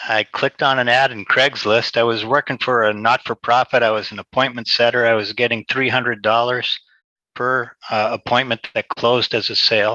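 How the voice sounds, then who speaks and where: A man with a Boston accent speaks at medium pitch and a fairly quick pace, in a bright, sharp tone. His intonation is monotone and flat, and the sound is dry and close with no echo. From Boston, Massachusetts. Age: 60s. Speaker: sales trainee. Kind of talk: casual chat. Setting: video call. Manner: halting. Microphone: internet call.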